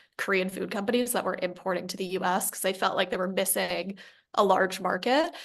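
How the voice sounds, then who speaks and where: This is a woman with a New Jersey accent. Her pitch is medium. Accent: American, New Jersey. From US Northeast, Fort Lee, New Jersey. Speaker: company founder. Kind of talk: podcast interview.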